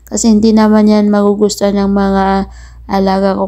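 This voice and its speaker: A woman's medium-pitched voice, dark and mellow in tone, monotone and flat, at a moderate pace. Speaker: domestic worker vlogger. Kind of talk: voice-over vlog narration. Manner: halting.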